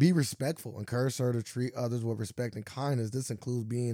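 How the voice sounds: The intonation stays fairly even in this natural reading voice.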